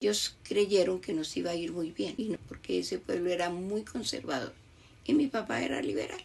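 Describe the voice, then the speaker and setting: Using vocal fry, a woman speaks at a moderate pace with a fairly low pitch that swings very widely. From Colombia, Bogotá. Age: 80s+. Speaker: grandmother telling life story. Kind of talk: testimony.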